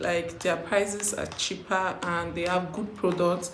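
A woman speaks at a moderate pace. Room echo is audible, with light background noise. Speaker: vlogger. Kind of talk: casual vlog chat. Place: home room.

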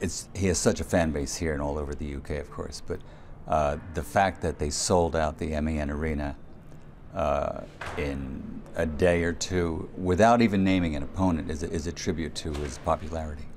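Light background noise sits behind a man whose very deep, low pitch carries fairly even intonation at a moderate pace. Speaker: ring announcer. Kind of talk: interview answer. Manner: conversational, relaxed. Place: hall. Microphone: handheld.

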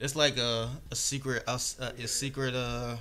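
There is light background noise as a man talks in a bright, sharp tone with fairly even intonation. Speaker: vlogger. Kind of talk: casual vlog chat. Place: home room. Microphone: phone near.

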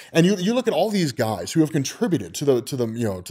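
Very wide pitch swings run through a man's speech, heard against a quiet background. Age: 30s. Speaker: comics explainer YouTuber. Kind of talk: casual monologue. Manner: halting, many repetitions and fillers. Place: home room.

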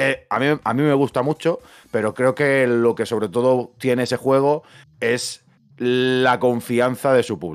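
A man talks in an ordinary speaking voice at a fairly slow pace. His pitch is medium, with ordinary pitch variation. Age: 30s. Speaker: video game podcast co-host. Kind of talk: casual chat. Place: home room. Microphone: studio mic.

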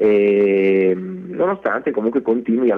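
A man speaks at a moderate pace and medium pitch. His pitch swings very widely. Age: 40s. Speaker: actor. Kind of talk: radio interview.

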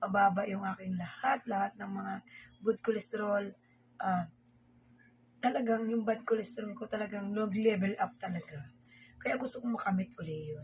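A woman at a medium pitch and moderate pace, somewhat breathy, with ordinary pitch variation, big swings in loudness and long, frequent pauses. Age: 50s. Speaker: vlogger. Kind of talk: casual vlog talk while eating. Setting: at home, filming herself at dinner.

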